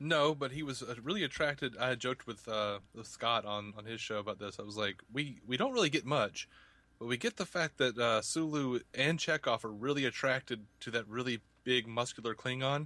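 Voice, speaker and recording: A man's bright, sharp voice sits at medium pitch with ordinary pitch variation and a fairly quick pace. The background is quiet. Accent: Alabama. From US South, Montgomery, Alabama. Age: 30s. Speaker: podcaster and YouTuber. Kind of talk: casual interview.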